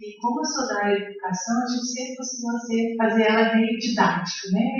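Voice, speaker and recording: A woman's fairly high voice with fairly even intonation, big swings in loudness and noticeable background noise. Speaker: education professor on a panel. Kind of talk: panel talk at academic seminar. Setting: seminar room with audience, microphone. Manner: hesitant, many fillers.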